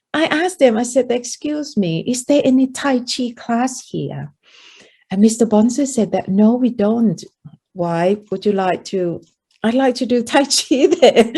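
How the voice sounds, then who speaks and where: A woman's high-pitched voice with lively intonation, a dark, mellow tone, and a fairly slow pace. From Thailand. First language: Thai. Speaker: meditation teacher. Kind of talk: interview storytelling.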